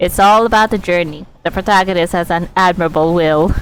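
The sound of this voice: Speaking at a fairly quick pace, a woman has a clear, smooth tone, a fairly low pitch and ordinary pitch variation.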